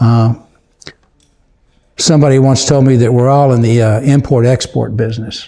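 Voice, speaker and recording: A man's dark, mellow voice with an American accent, flat monotone intonation, very even loudness and long, frequent pauses. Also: medium pitch for a man, moderate pace. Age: 70s. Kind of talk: casual chat.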